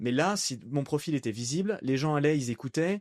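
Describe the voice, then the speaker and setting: This man's lively intonation comes through a dry, close sound with no echo against a quiet background. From France, Annecy. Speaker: voice-over artist and entrepreneur. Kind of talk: casual podcast interview. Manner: animated.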